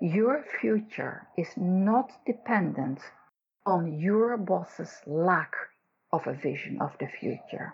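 A woman's medium-pitched, somewhat breathy voice at a very slow pace, with very wide pitch swings. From Netherlands. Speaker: executive coach. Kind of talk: casual interview chat.

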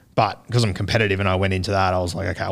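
Recorded very cleanly against a silent background, the speaker has an Australian accent and monotone, flat intonation. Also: man. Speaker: rugby league podcaster. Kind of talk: casual chat. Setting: studio. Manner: halting.

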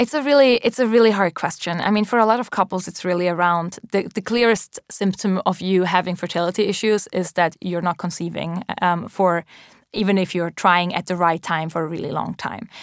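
In a Swiss German accent, a woman speaks at medium pitch and a fairly quick pace, with hardly any pauses and ordinary pitch variation, in a dry, close sound with no echo on a very clean recording with a silent background. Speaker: tech startup executive. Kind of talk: interview. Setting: studio. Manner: frequent um fillers.

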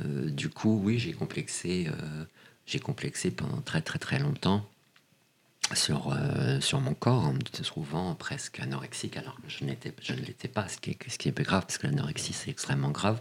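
Over noticeable background noise, a man with a very deep, low voice makes very wide pitch swings. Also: moderate pace. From Paris, France. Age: 40s. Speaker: casting director. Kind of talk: interview.

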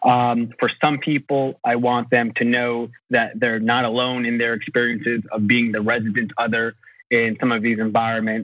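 A plain, everyday voice with an American accent, at a moderate pace. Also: man. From United States. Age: 20s. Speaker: novelist. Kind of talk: interview.

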